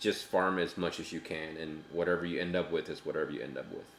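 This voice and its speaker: A man with a very deep, low pitch, an American accent and a fairly quick pace. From United States. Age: adult. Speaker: gaming streamer. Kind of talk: casual live-stream chat. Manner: talkative.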